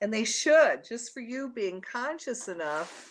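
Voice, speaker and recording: A woman with an American accent, fairly high pitch and lively intonation, on a very clean recording with a silent background. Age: 60s. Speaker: radio host. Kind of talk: radio talk monologue. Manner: casual, conversational.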